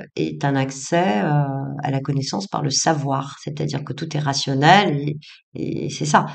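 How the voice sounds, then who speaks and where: With a very deep, low pitch and vocal fry, a woman speaks with ordinary pitch variation and big swings in loudness, in a room with audible echo. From Tunisia, Tunis. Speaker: psychologist and author. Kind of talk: interview testimony. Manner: hesitant, many fillers and repetitions.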